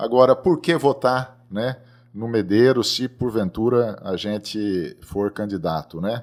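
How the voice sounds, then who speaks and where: The recording is very clean with a silent background. On it, a man speaks at a medium pitch and a very slow pace. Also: lively intonation. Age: 60s. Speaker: agronomist and seed company president. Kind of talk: podcast interview.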